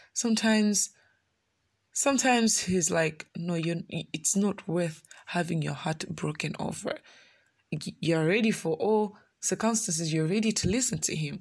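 Speaking at a moderate pace, a woman with a somewhat breathy, medium-pitched voice and ordinary pitch variation is heard on a very clean recording with a silent background. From Malawi. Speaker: pastor. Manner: conversational, earnest; heartfelt, pleading, emotional when voicing prayer: "Lord, it hurts a lot".

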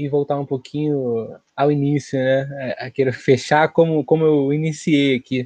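Against a quiet background, a man's fairly high voice comes through dry and close, with no echo. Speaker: podcast co-host. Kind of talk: casual political discussion. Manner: calm.

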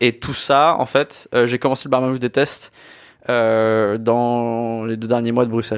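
A man's medium-pitched voice, very slow and flat in a monotone, over a quiet background. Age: 20s. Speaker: podcast host, bartender. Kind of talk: casual chat.

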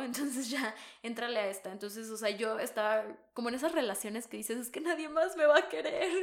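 Audible room echo around a woman speaking at a fairly high pitch. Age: 20s. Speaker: podcast co-host. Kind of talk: casual chat.

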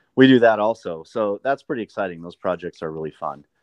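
A man is speaking. The sound is dry and close with no echo, and the background is quiet. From Montana. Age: 50s. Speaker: sauna business owner. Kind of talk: podcast interview.

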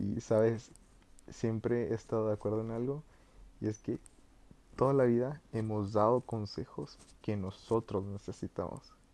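Dark and mellow in tone, a man's medium-pitched voice keeps a fairly even intonation. He talks at a fairly slow pace with long, frequent pauses. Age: 20s. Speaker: podcast host. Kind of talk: personal reflective monologue. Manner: halting.

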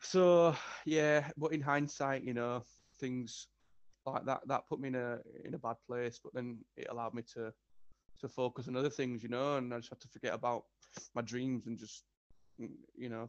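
A man with a Yorkshire accent, moderate pace, long and frequent pauses, and a dry, close sound with no echo. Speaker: guest, business owner and musician. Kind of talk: casual interview chat.

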